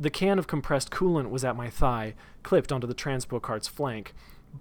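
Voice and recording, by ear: Lively intonation colors this reading aloud in a natural voice.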